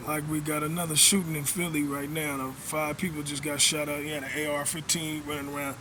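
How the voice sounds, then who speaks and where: Audible room echo surrounds a man speaking at a fairly quick pace with a fairly high pitch. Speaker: vlogger. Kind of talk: casual monologue.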